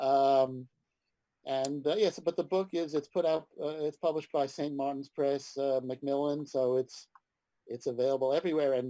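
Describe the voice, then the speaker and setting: A man with an American accent speaks at a fairly high pitch in a dark, mellow tone. His intonation stays fairly even, and the sound is dry and close with no echo. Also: moderate pace. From New York City (Manhattan). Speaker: comics writer and editor. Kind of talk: interview.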